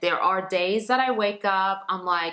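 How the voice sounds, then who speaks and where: Speaking at a medium pitch, a woman talks with a non-native accent. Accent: foreign. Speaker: lifestyle blogger and youtuber. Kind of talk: casual talk to camera. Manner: animated.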